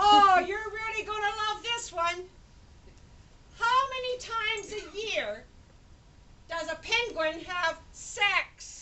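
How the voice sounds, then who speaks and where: In a put-on character voice, a woman speaks fairly slowly at an extremely high, squeaky pitch, with long, frequent pauses. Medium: stage play. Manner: chatty, fussy.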